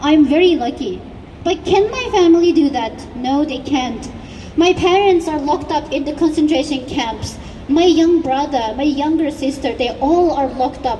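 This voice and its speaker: With noticeable background noise, a woman speaks in a high-pitched voice with a Xinjiang accent. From East Turkestan (Xinjiang). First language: Uyghur. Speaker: activist speaker. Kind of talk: rally speech. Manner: impassioned.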